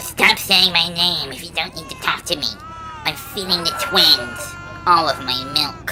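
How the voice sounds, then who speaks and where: In a put-on character voice at middle pitch, the speaker keeps a moderate pace while clear music plays in the background. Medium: audio drama. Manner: demanding, blunt.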